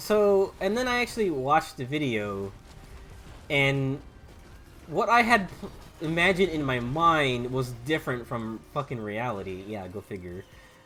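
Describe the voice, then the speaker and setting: Music in the background behind a man with an American accent, fairly high-pitched, moderate in pace, with very wide pitch swings. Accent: southern US accent, slips out at times. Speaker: gaming streamer. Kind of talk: casual gameplay commentary. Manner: rambling with many fillers.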